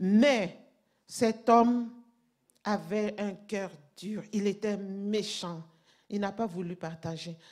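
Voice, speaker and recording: A woman with a non-native accent speaks very slowly at a medium pitch, with fairly even intonation and long, frequent pauses. The recording is very clean, with a silent background. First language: not French (speaking French). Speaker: pastor. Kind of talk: sermon. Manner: halting.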